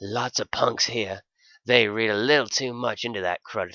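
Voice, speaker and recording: This man uses a put-on character voice that sounds raspy, at a medium pitch for a man. His intonation stays fairly even and his pace is moderate. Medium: read story. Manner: wisecracking, sly.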